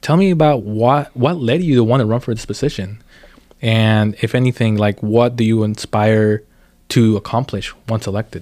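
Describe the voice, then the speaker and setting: A man speaks at a moderate pace in a medium pitch, his dark, mellow tone carrying ordinary pitch variation. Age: 20s. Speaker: podcast host. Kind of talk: casual interview. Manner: repetitive, stammering.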